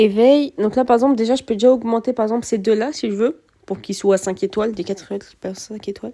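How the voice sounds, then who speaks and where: Speaking at a very fast pace, a woman has a fairly high pitch and a dark, mellow tone. Her pitch variation is ordinary, while her loudness swings widely. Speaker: gaming youtuber. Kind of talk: gameplay commentary. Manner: hesitant, many fillers.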